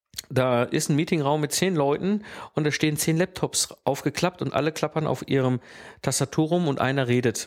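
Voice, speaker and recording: In a very clean recording with a silent background and a dry, close sound with no echo, a man with an unremarkable speaking voice and fairly high pitch talks at a moderate pace, with very even loudness and ordinary pitch variation. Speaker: podcast host, systems engineer. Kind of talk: solo educational podcast.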